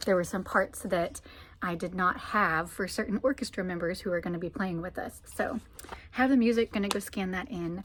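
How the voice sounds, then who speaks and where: A woman with an ordinary speaking voice talks at a medium pitch and a moderate pace, with ordinary pitch variation. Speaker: vlogger, church musician. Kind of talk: casual vlog chat. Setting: music library, sitting on floor.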